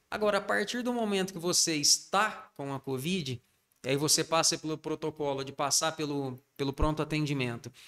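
This is a normal speaking voice. Its speed sits at a moderate level. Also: man, fairly high pitch for a man. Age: 40s. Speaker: pharmacist, pharmacy owner. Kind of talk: interview.

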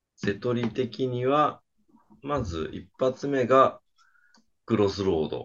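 With long, frequent pauses, a man talks at a very slow pace. His pitch sits at a medium level with ordinary variation. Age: 50s. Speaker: podcast co-host with his wife. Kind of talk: casual chat.

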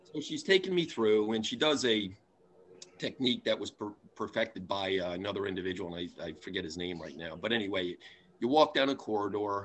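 A man with a plain, everyday voice speaks at a fairly low pitch, with ordinary pitch variation. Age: 60s. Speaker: table tipping medium, bereaved father. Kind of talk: casual interview storytelling.

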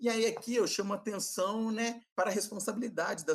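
A man's bright, sharp tone at a moderate pace. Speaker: geography teacher and researcher. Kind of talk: interview, expert explanation.

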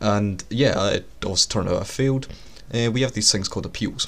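With a Scottish accent, a man speaks in fairly even intonation. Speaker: podcast host. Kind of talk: solo monologue.

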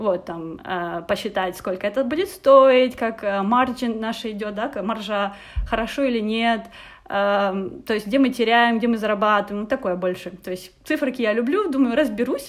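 A woman with a fairly high pitch and an unremarkable speaking voice talks at a fairly slow pace with ordinary pitch variation. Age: 20s. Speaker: design thinking trainer. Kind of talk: interview.

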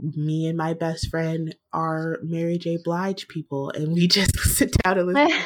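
A woman with a plain, everyday voice and an American accent talks at a fairly slow pace with hardly any pauses, a fairly low pitch and fairly even intonation. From US Virginia. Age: 20s. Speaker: podcaster. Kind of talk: casual conversation.

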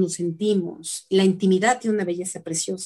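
Her pitch sits in the medium range for a woman. Intonation stays fairly even. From Mexico, Tlaxcala. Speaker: ontological coach. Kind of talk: interview. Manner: halting.

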